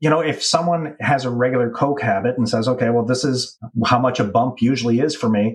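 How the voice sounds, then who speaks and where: A somewhat breathy man with a Canadian accent speaks fairly quickly at medium pitch, with ordinary pitch variation and very even loudness. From Canada. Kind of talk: casual chat.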